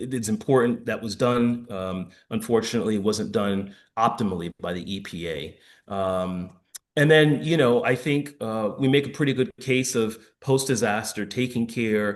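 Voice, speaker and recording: A man speaks at a medium pitch with ordinary pitch variation and an American accent, against a quiet background. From New York. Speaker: former firefighter and public health expert. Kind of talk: lecture. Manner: fast.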